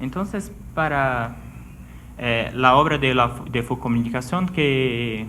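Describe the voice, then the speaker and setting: With audible room echo behind him, a man of medium pitch speaks at a very slow pace with ordinary pitch variation. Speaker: doctoral researcher. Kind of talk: academic presentation. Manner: hesitant.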